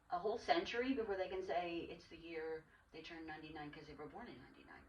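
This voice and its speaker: Her words come out very fast. The woman's voice has a somewhat breathy quality. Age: 60s. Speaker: podcast host. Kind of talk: casual chat.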